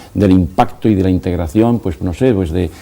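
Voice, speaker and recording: A man talks at a fairly quick pace in a dark, mellow tone, with ordinary pitch variation. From Spain. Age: 60s. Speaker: educator. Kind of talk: TV interview.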